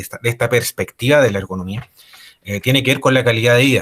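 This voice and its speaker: With a Chilean accent, a man talks at a medium pitch with fairly even intonation in a dry, close sound with no echo. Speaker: ergonomist. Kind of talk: lecture. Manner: halting, many fillers and repetitions.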